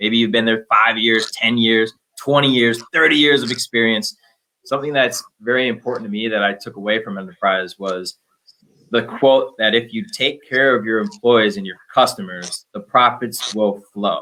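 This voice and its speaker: An ordinary speaking voice comes from a man with an American accent, medium pitch, ordinary pitch variation and a moderate pace. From Minnesota. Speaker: business development manager. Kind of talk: unscripted panel talk.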